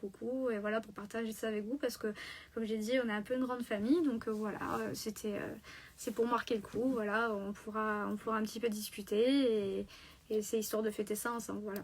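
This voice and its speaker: The delivery is rather brisk, with a flat, monotone intonation. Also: woman. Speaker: crochet artist. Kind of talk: casual live stream talk.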